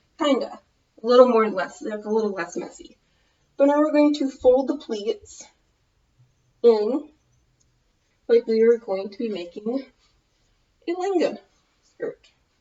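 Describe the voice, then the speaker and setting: A high-pitched woman in an American accent, fairly slow and lively in intonation, with big swings in loudness and long, frequent pauses. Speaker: fashion vlogger. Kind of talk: tutorial.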